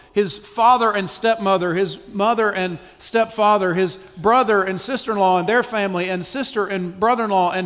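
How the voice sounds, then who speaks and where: A man's high voice at a fairly quick pace, with ordinary pitch variation and noticeable background noise. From US South, South Carolina. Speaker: missionary church planter. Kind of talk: testimony. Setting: church stage with audience.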